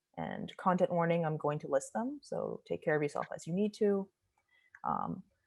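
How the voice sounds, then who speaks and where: The background is quiet. Speech moves at a moderate pace. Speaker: panelist presenting research. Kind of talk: conference presentation.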